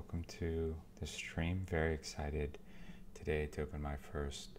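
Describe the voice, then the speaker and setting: A soft-spoken man with a very deep, low pitch talks at a fairly slow pace in a calm tone. His intonation is monotone and flat, with light background noise behind him. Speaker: card seller. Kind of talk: ASMR card opening talk.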